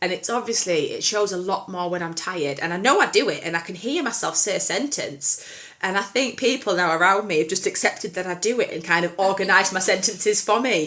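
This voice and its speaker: Talking very fast with hardly any pauses, a woman shows ordinary pitch variation against noticeable background noise. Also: medium pitch for a woman. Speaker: podcast co-host. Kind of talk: casual chat.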